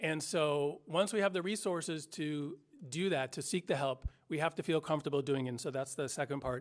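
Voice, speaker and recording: The recording is very clean, with a silent background. A man speaks with a fairly high pitch and ordinary pitch variation. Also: fairly quick pace. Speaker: community health organization representative. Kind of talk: prepared remarks at a press conference. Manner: fast; halting, many fillers and restarts.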